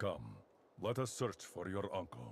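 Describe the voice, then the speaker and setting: The put-on character voice keeps to a moderate pace. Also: man. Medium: video game. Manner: formal, measured.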